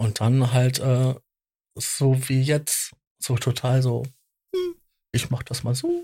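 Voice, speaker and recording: A man speaks at a very slow pace with long, frequent pauses. His medium-pitched voice is somewhat breathy and held in a monotone, flat intonation. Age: 40s. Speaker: podcast co-host. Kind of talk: casual chat.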